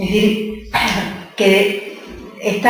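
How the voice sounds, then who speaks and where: Audible room echo surrounds a woman whose pitch is medium. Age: 60s. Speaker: theologian and nun. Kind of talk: talk Q&A.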